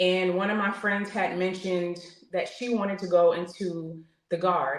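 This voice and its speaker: In a room with audible echo, a woman with a New York accent talks at a moderate pace, her medium-pitched voice monotone and flat. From New York (Queens). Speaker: military veteran. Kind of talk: interview testimony. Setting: podcast interview.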